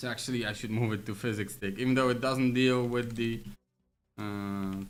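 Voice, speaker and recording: With audible room echo, a man with a non-native accent speaks at a moderate pace and medium pitch in a monotone, flat intonation. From Poland. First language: Polish. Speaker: game programmer streamer. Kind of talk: livestream coding with chat. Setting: livestream. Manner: casual, thinking aloud with fillers.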